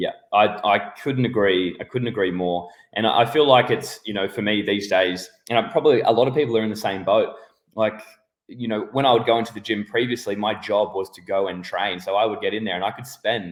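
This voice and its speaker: A man's fairly low voice at a fairly quick pace, with ordinary pitch variation and big swings in loudness. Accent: Australian. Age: 30s. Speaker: podcast host. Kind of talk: casual interview.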